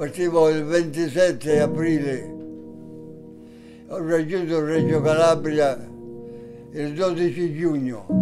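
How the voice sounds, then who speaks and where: With clear music playing behind him, a man speaks very slowly at a fairly high pitch, his intonation fairly even and broken by long, frequent pauses. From Sicily. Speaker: war veteran. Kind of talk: interview answer. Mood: earnest, bitter at times. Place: home room.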